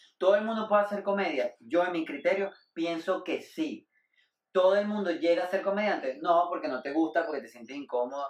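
With a high pitch and lively intonation, a man talks at a fairly quick pace. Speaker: comedian. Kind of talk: casual chat.

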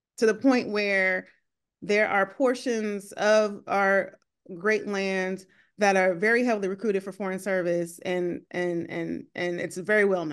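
A woman with an American accent, medium pitch and fairly even intonation at a fairly slow pace against a quiet background. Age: 40s. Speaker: government official, expat. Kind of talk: podcast interview.

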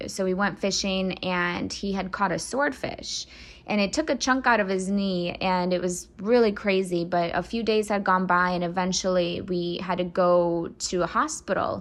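A woman with an American accent speaks at a moderate pace with hardly any pauses, in an unremarkable speaking voice with a medium pitch and ordinary pitch variation. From US Midwest (Michigan), adopted from Russia at six. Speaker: adoptee sharing her story. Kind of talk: personal testimony.

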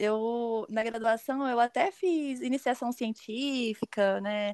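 The voice is a woman's, set fairly high in pitch. It sounds dry and close, without any echo. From Brazil, Rio de Janeiro state (São Pedro da Aldeia). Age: 30s. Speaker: endodontist. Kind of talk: casual interview.

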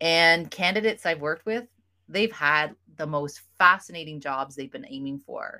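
A woman's fairly low, bright and sharp voice with a Canadian accent, lively intonation, moderate pace, very clean recording and silent background. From Ontario, Canada. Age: 50s. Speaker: job interview coach. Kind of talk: interview.

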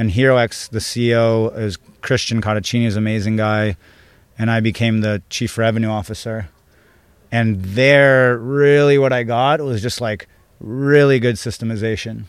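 With a Californian accent, a man talks at a moderate pace and medium pitch. The recording is very clean, with a silent background. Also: fairly even intonation. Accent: Californian American. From San Diego, US. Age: 30s. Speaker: business coach. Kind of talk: interview conversation. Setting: in person, Ibiza.

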